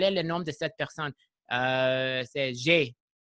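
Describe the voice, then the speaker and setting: A man with an English accent talks at a medium pitch. His tone is bright and sharp, with ordinary pitch variation. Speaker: podcast host. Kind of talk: casual interview. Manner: animated, filler-heavy.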